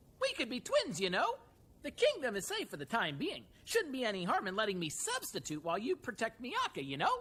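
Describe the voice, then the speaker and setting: Putting on a cartoonish character voice, a woman speaks at a fairly high pitch and a fairly quick pace. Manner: ends sentences with "you know?".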